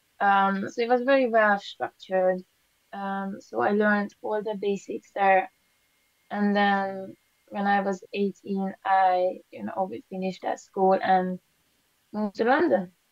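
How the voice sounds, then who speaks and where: A woman talks at a fairly slow pace and medium pitch. Her pitch variation is ordinary. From Hungary. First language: Hungarian. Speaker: painter. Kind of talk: interview. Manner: hesitant, many fillers.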